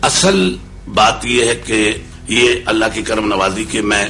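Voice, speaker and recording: Music plays behind a man with a fairly low voice. His intonation stays fairly even. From Uttar Pradesh, raised in Lahore. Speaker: qawwali singer. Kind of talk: interview answer.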